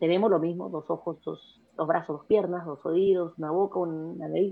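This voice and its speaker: Over music in the background, a woman speaks at a moderate pace with a fairly low pitch and fairly even intonation. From Peru. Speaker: businesswoman. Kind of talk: interview.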